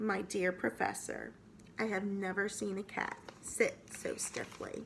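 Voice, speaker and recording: A raspy put-on character voice in a gentle, amused tone, at a fairly slow pace, over clear background noise. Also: woman, medium pitch for a woman. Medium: read story.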